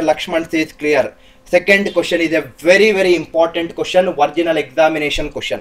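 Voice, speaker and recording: At a very fast pace, a man with a South Indian accent speaks with fairly even intonation and a fairly high pitch. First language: Kannada. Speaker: teacher. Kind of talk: live online lecture. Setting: livestream.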